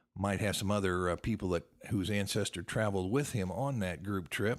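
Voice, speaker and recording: This is a man with a normal speaking voice, pitched fairly low. He talks at a moderate pace on a very clean recording with a silent background. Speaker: podcast host, genealogy author. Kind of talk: podcast talk, genealogy show. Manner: casual, friendly.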